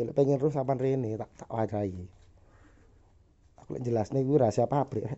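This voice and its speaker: At a fairly quick pace, a man talks with an East Javanese accent. His pitch is medium, with ordinary pitch variation. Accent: Javanese (East Java) Indonesian. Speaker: airgun workshop owner reviewing products. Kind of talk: casual product test demo.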